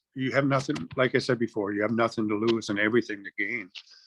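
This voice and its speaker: In an ordinary speaking voice, a man talks at a fairly quick pace in a medium pitch with fairly even intonation and a dry, close sound with no echo. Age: 60s. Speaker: program participant. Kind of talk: testimony.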